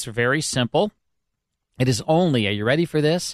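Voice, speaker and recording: An ordinary speaking voice from a man, fairly high in pitch with lively intonation, against a quiet background. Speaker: radio host. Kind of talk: casual chat. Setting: studio.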